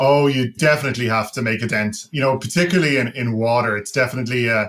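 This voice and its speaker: A man's medium-pitched voice with a slight Irish accent, ordinary pitch variation, and a very fast pace. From Ireland. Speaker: tech company founder and CEO. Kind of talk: podcast interview.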